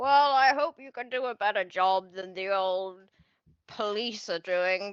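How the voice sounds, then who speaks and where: A woman's put-on character voice at medium pitch, fairly slow, with ordinary pitch variation and big swings in loudness. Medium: actual play.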